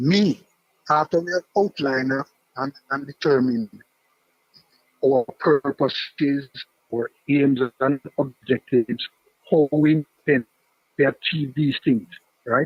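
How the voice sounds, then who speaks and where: In a Jamaican accent, a man with a fairly high pitch talks at a fairly slow pace with ordinary pitch variation and long, frequent pauses, in a dry, close sound with no echo. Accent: Jamaican English with patois features. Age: 60s. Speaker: caller to sports talk show. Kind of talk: call-in debate.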